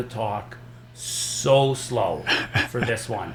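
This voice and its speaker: A man with a Canadian accent, over noticeable background noise and audible room echo. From Saskatchewan, Canada. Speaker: stand-up comedian. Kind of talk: casual chat. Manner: fast.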